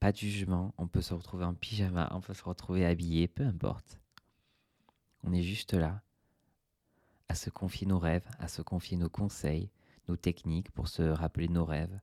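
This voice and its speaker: A soft-spoken man's very deep, low voice with a dark, mellow tone, fairly even intonation and long, frequent pauses, in a dry, close sound with no echo on a very clean recording with a silent background. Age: 30s. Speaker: podcast host. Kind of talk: relaxed solo monologue. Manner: slow.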